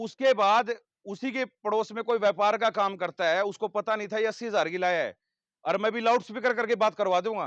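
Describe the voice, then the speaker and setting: In a dry, close recording with no echo and a quiet background, a man with a high voice talks at a moderate pace in an animated tone. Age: 30s. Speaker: animal feed company representative. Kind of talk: sales pitch to farmers.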